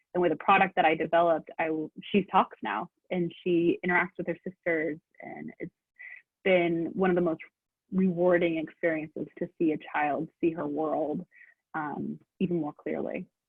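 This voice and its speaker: A woman's an ordinary speaking voice, fairly low in pitch, at a moderate pace with fairly even intonation. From Oregon. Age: 30s. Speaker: CBD product maker. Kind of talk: interview.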